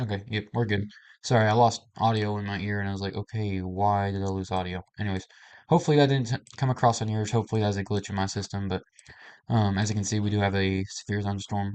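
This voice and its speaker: A man talks at a very fast pace with a fairly low pitch and fairly even intonation. The background is quiet. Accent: American. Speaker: weather livestreamer. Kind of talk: live weather update. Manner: casual, halting with fillers.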